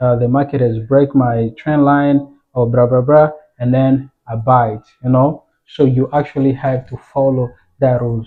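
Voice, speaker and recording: A man's monotone, flat delivery with a non-native accent. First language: not English. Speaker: forex trading educator. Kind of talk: tutorial. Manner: casual, halting with fillers.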